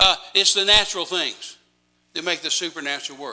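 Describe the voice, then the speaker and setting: A man with an American accent talks at a fairly quick clip. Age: 70s. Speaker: missionary evangelist. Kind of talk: sermon. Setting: church with congregation.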